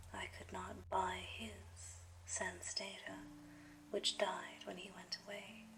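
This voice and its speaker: A soft-spoken woman at a very slow pace, soothing in tone, with big swings in loudness over noticeable background noise. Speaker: ASMR reader, audiobook-style narrator. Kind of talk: ASMR philosophy reading, relaxing book narration. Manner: soothing, soft-spoken.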